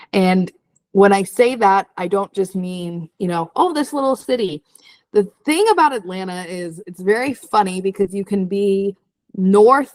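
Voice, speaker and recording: A woman with an American accent uses a normal speaking voice at medium pitch with ordinary pitch variation. She talks at a moderate pace, and the sound is dry and close with no echo. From New Jersey. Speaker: real estate video co-host. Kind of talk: casual chat.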